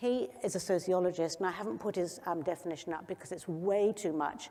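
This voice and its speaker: A woman at medium pitch, fairly quick, dark and mellow in tone, with ordinary pitch variation. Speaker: youth health doctor and conference speaker. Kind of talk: conference talk. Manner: fast.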